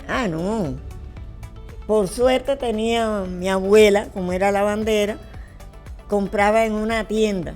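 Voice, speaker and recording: Over music in the background, a woman with a Cuban accent speaks at a very slow pace with fairly even intonation and long, frequent pauses. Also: medium pitch for a woman. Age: 80s+. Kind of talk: interview answer, reminiscing.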